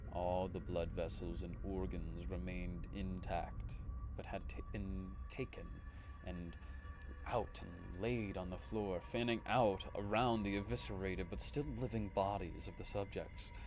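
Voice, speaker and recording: Music plays behind the speaker. He is a man talking at a fairly slow pace. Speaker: streamer reading creepypastas. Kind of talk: horror story narration.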